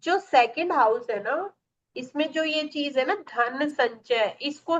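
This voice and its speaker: A woman is talking. Her intonation is lively. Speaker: astrology teacher. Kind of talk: online class lecture. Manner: animated.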